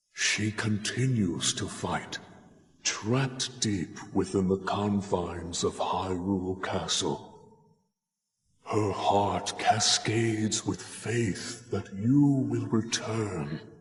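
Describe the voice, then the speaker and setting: A man talks at a very slow pace in a put-on character voice. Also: fairly low pitch for a man. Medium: video game. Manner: slow, gentle, grandfatherly.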